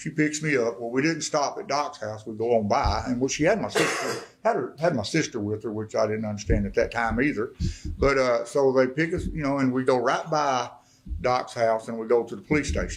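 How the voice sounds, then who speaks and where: With an Arkansas accent, a man speaks fairly quickly at a medium pitch and with ordinary pitch variation. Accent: US Southern (Arkansas). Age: 60s. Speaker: recovered addict and mayor giving testimony. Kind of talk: testimony. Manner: animated storytelling.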